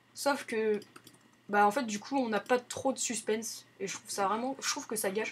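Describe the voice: With a slightly husky edge, a woman speaks at a moderate pace and a fairly high pitch, her pitch varying in an ordinary way.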